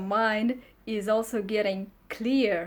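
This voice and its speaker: A woman's medium-pitched voice stays monotone and flat in a very clean recording with a silent background. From Russia. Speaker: travel vlogger. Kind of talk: casual vlog monologue.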